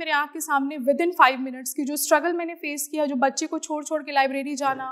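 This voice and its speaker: Against a quiet background, a woman speaks at a moderate pace in a high voice with a bright, sharp tone. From Bihar, East Champaran (Motihari); Bihar. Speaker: civil servant. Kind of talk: motivational talk. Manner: Hindi-English code-switching. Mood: earnest, reflective, sometimes emotional. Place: studio. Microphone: lapel.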